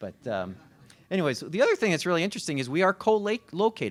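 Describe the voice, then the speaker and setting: A man speaks with a Chicago accent at a fairly quick pace, with very wide pitch swings. The recording is very clean, with a silent background. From Chicago area, US Midwest. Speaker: college consortium administrator. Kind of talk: panel presentation. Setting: panel event with audience. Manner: hesitant, many fillers.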